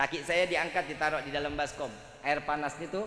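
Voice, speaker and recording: A man with a Jakarta accent talks at a fairly quick pace, with audible room echo. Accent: Betawi. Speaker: Islamic preacher. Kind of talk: sermon. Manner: animated.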